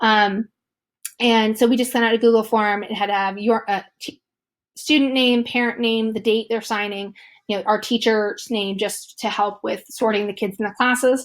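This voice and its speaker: A monotone, flat delivery on a very clean recording with a silent background. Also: woman, fairly high pitch for a woman. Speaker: teacher. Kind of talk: tutorial. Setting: screen recording. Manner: fast.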